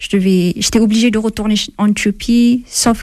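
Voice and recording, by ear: Showing little pitch movement, a woman with a dark, mellow tone speaks at a moderate pace.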